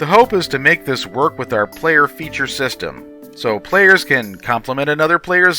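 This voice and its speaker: Music in the background behind a man's voice of medium pitch. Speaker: game update host. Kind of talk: game development update narration.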